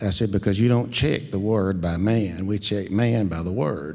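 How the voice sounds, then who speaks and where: Pitched fairly low, a man speaks with ordinary pitch variation. His pace is moderate. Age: 60s. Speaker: congregation member. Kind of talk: testimony.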